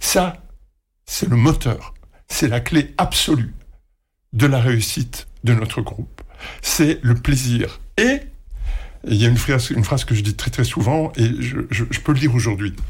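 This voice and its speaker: A man with a somewhat breathy, medium-pitched voice speaks at a fairly slow pace. His pitch variation is ordinary, and his pauses are long and frequent. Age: 60s. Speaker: retired radio executive. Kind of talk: interview. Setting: studio.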